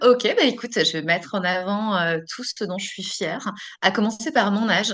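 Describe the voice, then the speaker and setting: The woman has an ordinary speaking voice at medium pitch with ordinary pitch variation. She keeps a moderate pace, with big swings in loudness. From France, Dijon. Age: 40s. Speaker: author and writing coach. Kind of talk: podcast interview.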